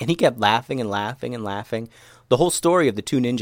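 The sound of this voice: Lively intonation runs through the speech. It comes in an unforced reading voice.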